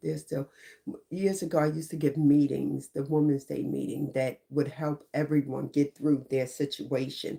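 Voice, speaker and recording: In an American accent, this voice has a dark, mellow tone with vocal fry. It moves at a moderate pace. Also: woman. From New York. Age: 60s. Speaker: YouTuber on mental health and life. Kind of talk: casual motivational monologue.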